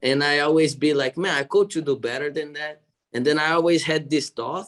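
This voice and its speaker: A man's fairly high voice with a Brazilian Portuguese accent, a fairly quick pace and fairly even intonation. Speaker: jiu-jitsu athlete and gym owner. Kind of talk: interview.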